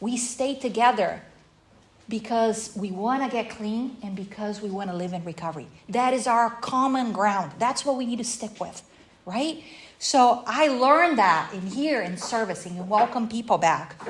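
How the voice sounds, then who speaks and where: A woman with a Portuguese accent speaks in a fairly high pitch with an animated tone. Her pitch varies in an ordinary way while her loudness swings widely. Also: moderate pace. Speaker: recovery workshop speaker. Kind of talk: workshop talk.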